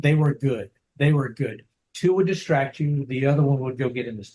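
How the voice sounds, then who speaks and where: A man talks at a fairly quick pace with a somewhat breathy, fairly high voice. His loudness swings widely. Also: ordinary pitch variation. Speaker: dog trainer. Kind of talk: interview. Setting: video call. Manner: halting.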